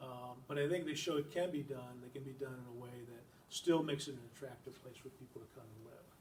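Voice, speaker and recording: At a very fast pace, a man with a medium pitch speaks with fairly even intonation and big swings in loudness. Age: 60s. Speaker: environmental nonprofit director. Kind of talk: public lecture. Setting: library talk with audience. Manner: halting, many fillers.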